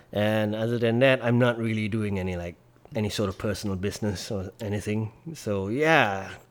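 A man's fairly low voice with a Malaysian accent, moderate pace and ordinary pitch variation. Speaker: social media personality. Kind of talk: casual chat. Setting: host's home.

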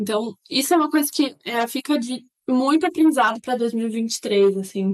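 A woman at a fairly high pitch and a very slow pace. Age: 20s. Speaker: engineer. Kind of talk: casual chat.

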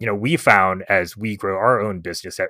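A man's bright, sharp tone comes through a dry, close sound with no echo in a very clean recording with a silent background. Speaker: podcast host. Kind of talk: interview.

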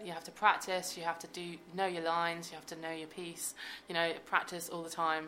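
A woman talks with a monotone, flat delivery, her pitch fairly low and her pace moderate. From Devon, England. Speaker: violist and musician. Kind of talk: interview. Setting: studio.

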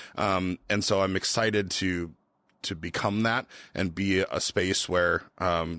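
Recorded very cleanly against a silent background, with a dry, close sound and no echo, a man with an Upper Midwest accent speaks very slowly in a very deep, low pitch, his tone bright and sharp, his pitch variation ordinary. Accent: Upper Midwest American. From Minnesota, Twin Cities. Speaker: brewery founder. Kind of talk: casual interview.

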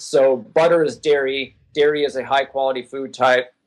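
With ordinary pitch variation, a man speaks in a normal speaking voice pitched fairly high. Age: 40s. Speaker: endurance athlete and sports nutrition writer. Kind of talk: interview.

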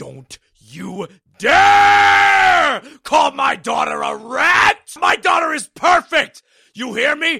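A man shouting in a put-on character voice at a very slow pace

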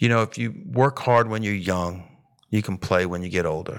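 An ordinary speaking voice from a man at medium pitch, with lively intonation, in a very clean recording with a silent background. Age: 50s. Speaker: woodworker and insurance seller. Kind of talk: casual interview chat.

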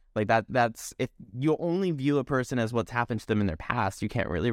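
This man has a plain, everyday voice with medium pitch and lively intonation. He talks at a fairly quick pace in a dry, close sound with no echo. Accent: American. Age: 30s. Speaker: podcast host. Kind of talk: casual chat. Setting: video call.

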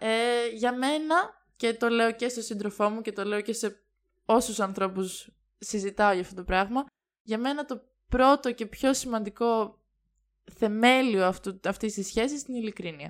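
Recorded very cleanly against a silent background, a woman with an ordinary speaking voice talks at a fairly slow pace, her fairly high pitch showing ordinary variation. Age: 20s. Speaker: podcast guest. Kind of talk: casual chat.

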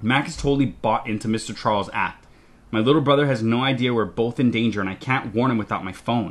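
Reading voice, unforced.

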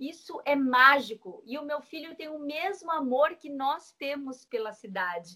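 A woman speaks at a fairly slow pace in a high, raised, projected voice with a bright, sharp tone. Her intonation is lively, and her loudness swings widely. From Brazil, Santos (São Paulo coast). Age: 40s. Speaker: city councillor, former journalist. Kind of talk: interview. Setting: remote call from her office.

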